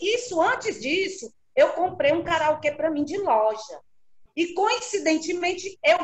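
Her pitch extremely high and her intonation lively, a woman speaks at a fairly slow pace. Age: 60s. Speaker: karaoke singer. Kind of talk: casual interview. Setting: video call.

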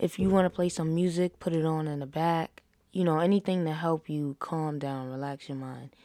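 A woman's very deep, low voice with a dark, mellow tone and fairly even intonation, at a moderate pace, on a very clean recording with a silent background. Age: 20s. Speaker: podcast host. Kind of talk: casual monologue. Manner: casual, with filler words.

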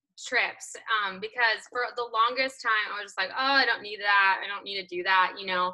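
A woman with a plain, everyday voice, ordinary pitch variation and a fairly quick pace. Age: 30s. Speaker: podcast host. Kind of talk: casual interview.

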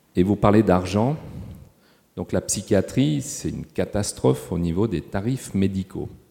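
A man with a fairly low pitch and a dark, mellow tone speaks at a fairly slow pace, using vocal fry and lively intonation. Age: 60s. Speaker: hospital sustainability manager. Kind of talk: panel discussion. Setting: stage with audience.

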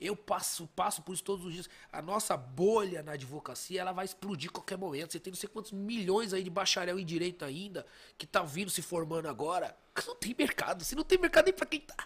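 A man with a high pitch speaks at a fairly quick pace. His intonation is lively, with big swings in loudness. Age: 30s. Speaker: lawyer and businessman. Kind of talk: casual chat. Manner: halting, repeats words.

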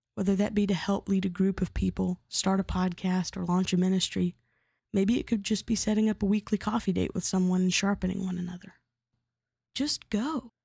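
A woman at medium pitch speaks at a fairly quick pace in a dark, mellow, somewhat breathy tone, on a very clean recording with a silent background and a dry, close sound with no echo. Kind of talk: devotional teaching monologue. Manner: casual with fillers.

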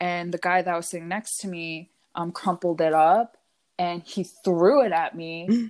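A woman with a fairly low pitch and fairly even intonation speaks at a moderate pace, her loudness swinging widely, in a very clean recording with a silent background. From US Mid-Atlantic. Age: 20s. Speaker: podcast co-host. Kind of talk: casual chat. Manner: filler-heavy, says literally a lot; giggly.

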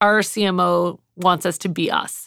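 On a very clean recording with a silent background, a woman speaks at a medium pitch in a normal speaking voice. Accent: Canadian. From Canada, Montreal then Toronto. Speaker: marketing executive. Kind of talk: casual chat. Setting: in-person interview.

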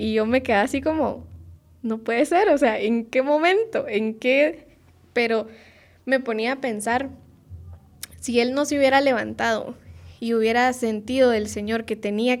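On a very clean recording with a silent background, a woman with a high pitch speaks at a fairly slow pace with fairly even intonation. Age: 20s. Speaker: podcast co-host. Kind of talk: casual chat.

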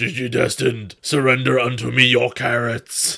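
A man puts on a raspy character voice. He speaks at a moderate pace and medium pitch. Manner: menacing, villainous.

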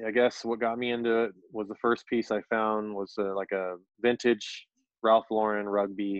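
A man with an American accent speaks at a moderate pace in an ordinary speaking voice, his fairly low pitch carried on fairly even intonation. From Orange County, California. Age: 40s. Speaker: vintage clothing reseller and live streamer. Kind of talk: casual interview chat.

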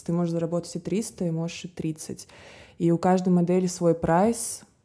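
Dark and mellow in tone, a woman's voice rests at a somewhat low pitch. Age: 20s. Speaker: fashion model. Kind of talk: casual interview chat.

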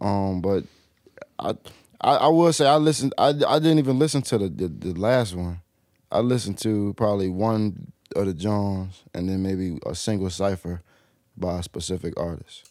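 A man with an unremarkable speaking voice and an American accent, lively intonation, a moderate pace, and a very clean recording with a silent background. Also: fairly low pitch for a man. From Portsmouth, Virginia (from age 9; born Wilmington, Delaware). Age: 20s. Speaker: rapper. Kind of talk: casual chat.

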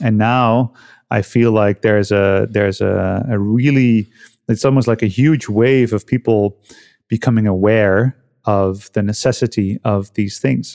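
A man speaks at a medium pitch with a dark, mellow tone and very even loudness. The sound is dry and close with no echo, over a quiet background. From Netherlands. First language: Dutch. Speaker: health and cold-exposure coach. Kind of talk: casual interview conversation. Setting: remote call.

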